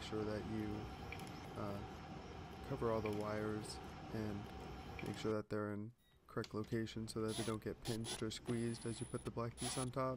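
Loud background noise sits behind a voice with a dry sound and no echo. The pace is moderate. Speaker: DIY hobbyist. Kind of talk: DIY repair tutorial. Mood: tired, slightly self-deprecating. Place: garage. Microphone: phone near.

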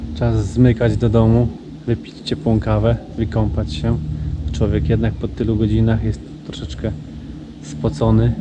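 There are long, frequent pauses as a man talks at a fairly slow pace. The sound is dry with no echo, over loud background noise. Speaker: wildlife photographer vlogger. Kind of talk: casual vlog chat.

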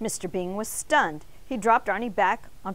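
A passage is being read aloud in a natural voice.

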